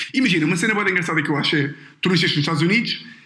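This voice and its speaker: Ordinary pitch variation marks a man's high-pitched speech. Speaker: podcast host. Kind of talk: casual chat. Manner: animated, laughing.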